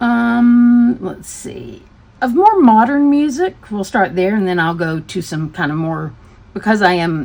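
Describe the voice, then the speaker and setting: An American accent with very wide pitch swings. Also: woman, medium pitch for a woman, fairly slow pace. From US South, Tennessee. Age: 60s. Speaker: craft hobby YouTuber. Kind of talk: casual chat.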